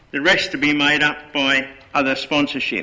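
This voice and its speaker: A man at a fairly high pitch and moderate pace, against noticeable background noise. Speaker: local councillor. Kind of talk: council meeting motion presentation.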